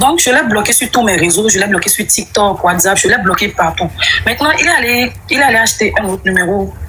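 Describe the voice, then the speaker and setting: A woman with a medium-pitched voice speaks at a fairly quick pace with lively intonation while music plays in the background. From Benin. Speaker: caller. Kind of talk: testimony.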